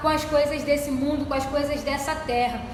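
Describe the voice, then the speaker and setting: A woman's high-pitched voice comes through noticeable background noise and audible room echo. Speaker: church deaconess, Bible study teacher. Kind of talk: Bible study lesson.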